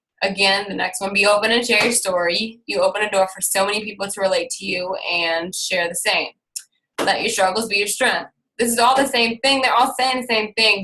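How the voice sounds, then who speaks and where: Speaking at a fairly quick pace with ordinary pitch variation, this is a plain, everyday voice. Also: woman, medium pitch for a woman. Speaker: fitness coach. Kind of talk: team call presentation.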